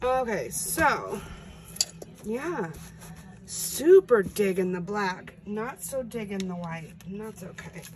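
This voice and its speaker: A woman speaks at a very slow pace with long, frequent pauses, medium pitch, lively intonation and big swings in loudness over noticeable background noise. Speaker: acrylic pour artist. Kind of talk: tutorial.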